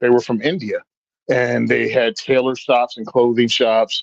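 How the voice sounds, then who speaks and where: With an American accent, a man speaks at a medium pitch and moderate pace, recorded dry and close with no echo. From US South, rural Virginia. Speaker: gun rights advocate. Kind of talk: casual storytelling chat.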